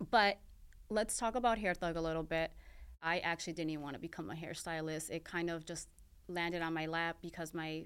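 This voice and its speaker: Recorded very cleanly against a silent background, a woman with a fairly low pitch and ordinary pitch variation has an unremarkable speaking voice. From US, Mexican-American family. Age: 30s. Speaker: podcast host and hairstylist. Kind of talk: personal monologue.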